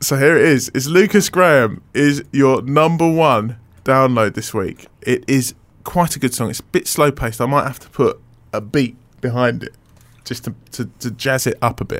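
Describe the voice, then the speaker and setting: With an ordinary speaking voice, a man talks at a medium pitch and moderate pace, with ordinary pitch variation and big swings in loudness. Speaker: radio show host. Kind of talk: casual radio chat. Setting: radio studio. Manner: bantering, laughing.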